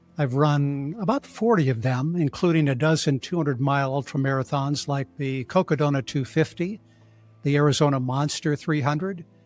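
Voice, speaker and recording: Music plays in the background as the speaker talks at a moderate pace with ordinary pitch variation. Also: man, fairly high pitch for a man. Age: 60s. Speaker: ultramarathon runner and trial attorney. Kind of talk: scripted narration. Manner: formal.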